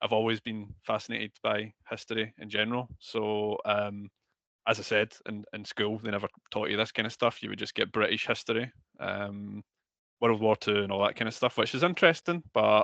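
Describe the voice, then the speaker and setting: Moderate pace in a Scottish accent, bright and sharp in tone with ordinary pitch variation, dry and close with no echo over a quiet background. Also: man, fairly low pitch for a man. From Scotland. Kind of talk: interview. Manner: hesitant, many fillers.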